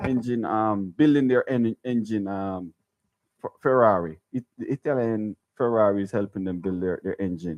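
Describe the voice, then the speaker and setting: A man speaks at a moderate pace with ordinary pitch variation. His pitch is fairly low. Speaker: sports radio co-host. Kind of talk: casual sports talk. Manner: halting, many repeated words.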